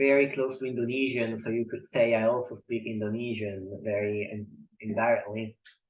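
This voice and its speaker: At a moderate pace, a man talks in an Italian accent. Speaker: poet and polyglot. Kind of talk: interview conversation.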